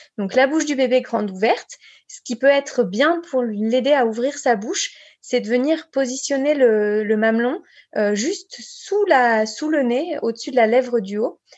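The voice belongs to a woman with a high pitch. Her intonation is lively. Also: fairly slow pace. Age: 30s. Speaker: breastfeeding counsellor and speech therapist. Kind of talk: podcast interview, advice.

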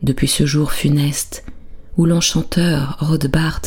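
Over background music, the speech comes at a very slow pace in a soothing, gentle tone. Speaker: bedtime storyteller. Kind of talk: bedtime story narration, soft lulling fairy-tale telling. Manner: slow, soothing, gentle, calm; softly dramatic, shifts tone for characters.

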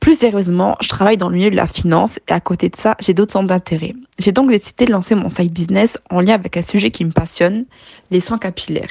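Talking at a very fast pace, a woman uses ordinary pitch variation, recorded with a dry, close sound and no echo. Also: medium pitch for a woman. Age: 20s. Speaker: finance worker with side business. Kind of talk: scripted testimony.

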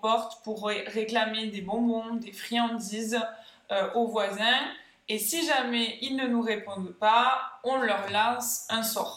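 A woman talks at a fairly high pitch and a very slow pace. Audible room echo and noticeable background noise surround her. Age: 20s. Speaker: podcast co-host. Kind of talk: casual chat.

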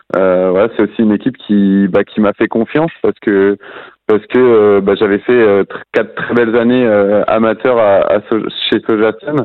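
Here is a man with a plain, everyday voice, fairly low in pitch. He speaks at a moderate pace with fairly even intonation and very even loudness. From western France, near Nantes. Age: 20s. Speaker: professional cyclist. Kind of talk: podcast interview.

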